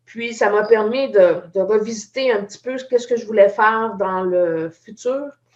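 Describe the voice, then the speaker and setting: Speaking fairly slowly with hardly any pauses, a woman with a Quebec accent has a fairly high pitch, ordinary pitch variation and big swings in loudness. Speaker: IT entrepreneur. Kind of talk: live video chat.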